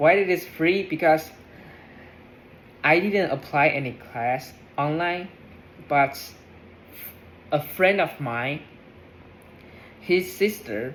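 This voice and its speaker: The speech moves at a very slow pace. Long pauses come often. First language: not English. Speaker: English learner vlogger. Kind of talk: casual practice monologue. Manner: halting, many fillers and restarts.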